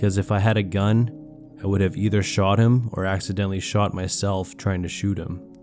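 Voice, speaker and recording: Music plays in the background as the voice moves at a moderate pace with ordinary pitch variation and hardly any pauses. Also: man, fairly low pitch for a man. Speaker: horror story narrator and YouTuber. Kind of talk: horror story narration; calm storytelling with ASMR-style delivery.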